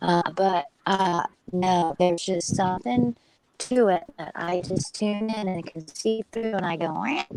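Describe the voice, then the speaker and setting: A woman with an unremarkable speaking voice talks at a fairly slow pace and medium pitch. Her pitch variation is ordinary, and the sound is dry and close with no echo. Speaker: panel participant on live stream. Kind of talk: casual group chat.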